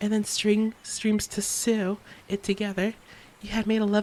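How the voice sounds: This is someone reading. It is a natural reading voice.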